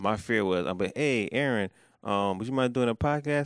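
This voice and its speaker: A man is talking. His voice has a medium pitch. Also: very clean recording, silent background. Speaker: podcast host and comedian. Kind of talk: casual chat.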